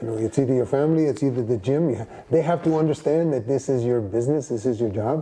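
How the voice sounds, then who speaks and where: A man at medium pitch talks very fast, his pitch varying in an ordinary way, with noticeable background noise. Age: 60s. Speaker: boxing trainer. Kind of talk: interview. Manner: halting.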